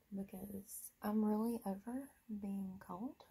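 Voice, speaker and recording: A woman's somewhat breathy voice has a dark, mellow tone at a medium pitch. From US East Coast. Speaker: beauty vlogger. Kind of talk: casual chat.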